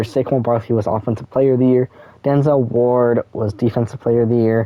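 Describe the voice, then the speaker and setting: With fairly even intonation, a man of medium pitch speaks in a plain, everyday voice. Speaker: gaming YouTuber. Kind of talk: gameplay commentary.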